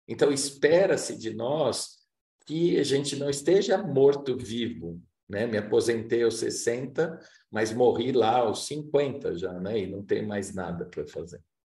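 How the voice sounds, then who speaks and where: In a room with audible echo, a man with a medium pitch and a dark, mellow, somewhat breathy tone speaks at a fairly slow pace with lively intonation. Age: 60s. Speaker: workshop facilitator. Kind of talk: lecture.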